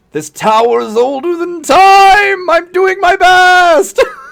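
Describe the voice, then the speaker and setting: The man puts on a character voice, pitched extremely high and delivered fairly slowly. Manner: weary, overworked.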